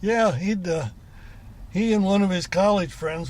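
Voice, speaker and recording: The speech is in an American accent, at a moderate pace with ordinary pitch variation. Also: man. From US West. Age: 70s. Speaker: off-road racer. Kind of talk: casual chat. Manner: halting.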